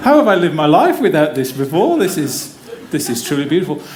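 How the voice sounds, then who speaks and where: A man with an English accent speaks at a fairly quick pace. There is audible room echo and noticeable background noise. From English Midlands, near Wolverhampton. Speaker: physiotherapy academic. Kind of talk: conference talk. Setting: theater stage with audience. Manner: casual, humorous.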